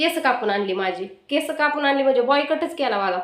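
A woman with very wide pitch swings amid audible room echo. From rural Maharashtra, India. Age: 30s. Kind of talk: personal life story vlog.

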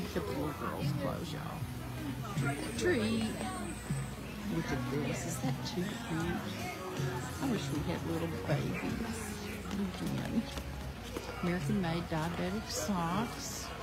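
Loud music plays behind a woman's voice. She speaks at a very slow pace with long, frequent pauses. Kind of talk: casual vlog chat. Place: market. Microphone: phone near.

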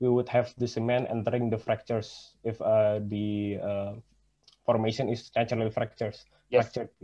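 Against a quiet background, a man speaks at a moderate pace and medium pitch with monotone, flat intonation. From Indonesia. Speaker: university student; questioner. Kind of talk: audience question. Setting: video call. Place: home room. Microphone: video call.

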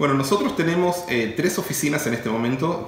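A man at a fairly quick pace, lively intonation, audible room echo around him. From Argentina. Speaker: real estate company CEO; interviewee. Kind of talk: interview. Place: office.

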